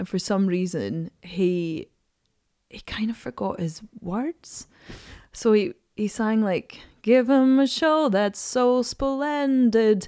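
On a very clean recording with a silent background, a woman with an Edinburgh accent speaks very slowly in a fairly high, dark, mellow voice, with lively intonation and big swings in loudness. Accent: Scottish (Edinburgh). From Scotland, Edinburgh. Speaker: singer and actor. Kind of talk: casual chat. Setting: studio.

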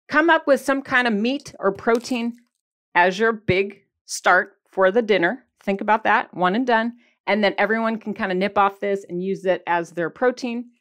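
A woman with a Michigan accent speaks in an upbeat, animated tone at a moderate pace. Her pitch is fairly high for a woman, and the background is quiet. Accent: Michigan, general northern US. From US Michigan. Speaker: podcast host and keto weight-loss coach. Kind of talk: casual solo podcast talk with tips. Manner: chatty, upbeat, animated.

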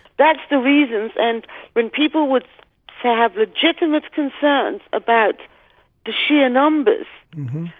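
Pausing long and often, a woman with an English accent speaks fairly slowly in a high pitch with lively intonation. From Britain. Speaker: investigator. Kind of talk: interview.

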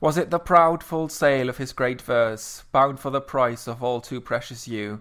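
A man speaks at a moderate pace with hardly any pauses, medium in pitch and with ordinary pitch variation. The recording is very clean, with a silent background. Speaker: co-host. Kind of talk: casual chat. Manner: hesitant, self-described cynical.

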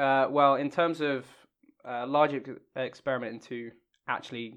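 Against a quiet background, a man with an ordinary speaking voice talks at a medium pitch and a moderate pace with fairly even intonation. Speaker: laser fusion researcher. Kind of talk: casual chat.

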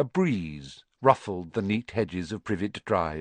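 Lively intonation marks this reading aloud in a natural voice. Little else can be heard around it.

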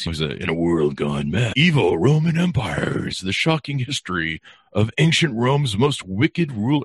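Putting on a character voice, a man speaks at medium pitch and a moderate pace with very wide pitch swings. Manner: dramatic, portentous.

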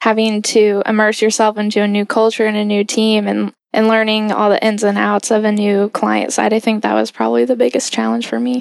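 A woman's fairly high voice at a fairly quick pace, over a quiet background. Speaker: junior strategy consultant. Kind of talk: casual chat.

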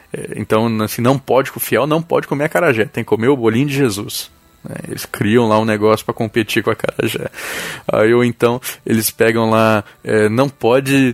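Music plays behind a man speaking at a fairly quick pace with fairly even intonation. His pitch is medium, and the sound is dry and close, with no echo. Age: 20s. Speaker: journalist and folklore podcaster. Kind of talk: casual interview.

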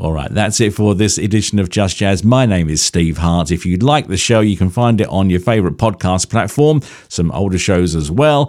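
A man with a very deep, low voice speaks at a moderate pace with lively intonation and hardly any pauses. His loudness stays very even, and the recording is very clean with a silent background. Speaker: radio host. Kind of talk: radio presenting. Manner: animated.

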